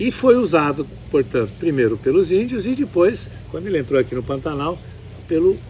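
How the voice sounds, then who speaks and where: A man talks at a moderate pace. His fairly high pitch swings very widely. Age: 70s. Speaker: ecotourism lodge owner and horse breeder. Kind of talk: interview. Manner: calm.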